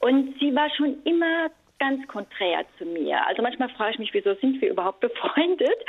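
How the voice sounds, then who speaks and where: At a moderate pace, a woman speaks with a high pitch that swings very widely. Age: 60s. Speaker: caller. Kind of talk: casual chat. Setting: phone call from home kitchen. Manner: halting.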